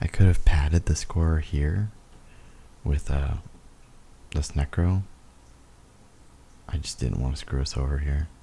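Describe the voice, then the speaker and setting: Whispering in a soft-spoken, somewhat breathy way, a man talks fairly slowly with long, frequent pauses. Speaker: gaming video commentator. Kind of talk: gameplay voiceover commentary. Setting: home recording, voiceover. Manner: whispering, soft late-night voice; casual, halting with fillers.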